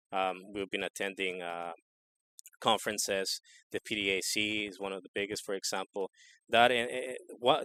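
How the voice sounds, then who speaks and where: With a Spanish accent, a man talks at a fairly quick pace in a fairly low, bright, sharp voice with ordinary pitch variation and a dry, close sound with no echo. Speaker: equipment salesperson. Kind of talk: interview. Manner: halting, many repeated words.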